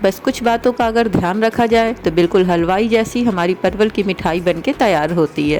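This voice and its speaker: A woman's medium-pitched voice with ordinary pitch variation, very even loudness and hardly any pauses, over music in the background. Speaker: cooking channel host. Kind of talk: cooking tutorial.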